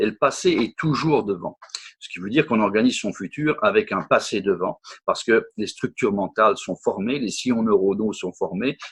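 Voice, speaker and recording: A man's voice shows big swings in loudness, with a dry, close sound and no echo. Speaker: workshop speaker on personal development. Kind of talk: interview about his workshop. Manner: fast; hesitant, with many repetitions.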